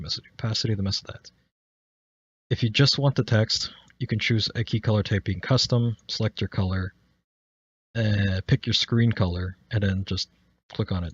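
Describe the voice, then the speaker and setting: Somewhat breathy, the speaker keeps fairly even intonation, with big swings in loudness and long, frequent pauses. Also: man, moderate pace. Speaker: streaming tutorial maker. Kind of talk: tutorial. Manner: halting, stuttering.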